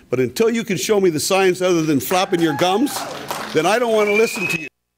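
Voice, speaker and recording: Loud and very fast, a man speaks at a high pitch with lively intonation. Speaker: audience member at public meeting. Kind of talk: public comment.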